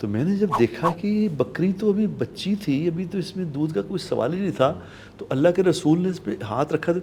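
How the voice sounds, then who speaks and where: Lively in intonation and high in pitch, a man speaks at a moderate pace with a dark, mellow tone. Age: 60s. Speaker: Islamic scholar. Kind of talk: religious talk show. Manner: earnest, preaching.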